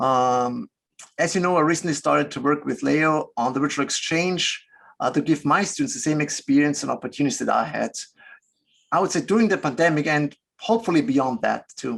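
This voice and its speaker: Against a quiet background, a man with a fairly high pitch talks at a fairly quick pace with lively intonation. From Austria. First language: German. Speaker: business ethics professor. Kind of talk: webinar interview.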